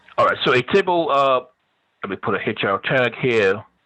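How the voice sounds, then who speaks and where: A man speaks with lively intonation. His pitch sits in the medium range. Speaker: college web design instructor. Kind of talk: lecture. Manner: fast.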